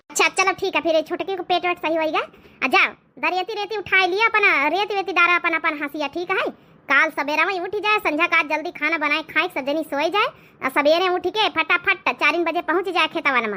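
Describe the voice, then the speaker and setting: A cartoonish character voice, female-sounding and extremely high-pitched, at a fairly quick pace. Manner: commanding.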